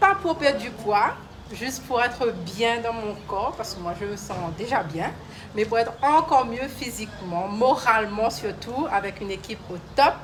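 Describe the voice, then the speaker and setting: A woman with a fairly high pitch talks at a fairly slow pace, with lively intonation and big swings in loudness. Audible room echo and noticeable background noise fill the recording. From Réunion island (Sainte-Marie). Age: 40s. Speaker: gym client giving testimonial. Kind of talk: testimony. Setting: gym, live video stream.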